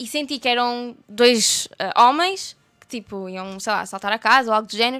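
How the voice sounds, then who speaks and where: A woman's high-pitched, bright, sharp voice at a moderate pace, with ordinary pitch variation and big swings in loudness. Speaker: YouTuber. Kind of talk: casual chat.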